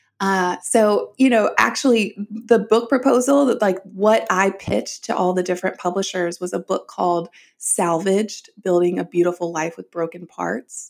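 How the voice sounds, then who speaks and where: A woman with an American accent has an ordinary speaking voice at medium pitch. She uses ordinary pitch variation and hardly any pauses. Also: moderate pace. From US South. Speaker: author. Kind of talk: interview.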